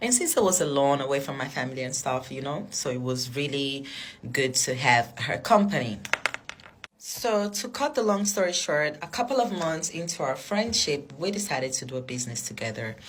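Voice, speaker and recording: A woman with a non-native accent, her pitch very deep and low, at a moderate pace with very wide pitch swings, amid noticeable background noise. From Africa. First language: not English. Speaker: vlogger. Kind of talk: storytelling. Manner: casual.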